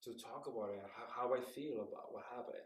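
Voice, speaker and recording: A man with a Spanish accent talks at a fairly quick pace in a medium pitch. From Mexico City. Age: 60s. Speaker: puppeteer and professor. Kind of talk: interview.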